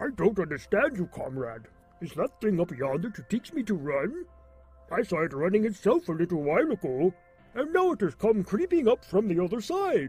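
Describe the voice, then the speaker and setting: A man's cartoonish character voice, high-pitched, with very wide pitch swings, at a moderate pace, dry and close with no echo, over faint background music. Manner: wondering, naive.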